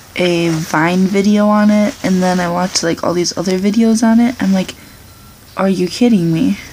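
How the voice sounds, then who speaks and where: Over light background noise, a woman speaks at a moderate pace with fairly even intonation and very even loudness. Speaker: vlogger. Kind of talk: casual vlog chat. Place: home room. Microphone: webcam.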